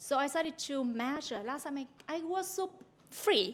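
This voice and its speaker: A woman speaks in a high voice with a Vietnamese accent. Her pace is moderate. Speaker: university lecturer. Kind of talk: conference talk. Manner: halting.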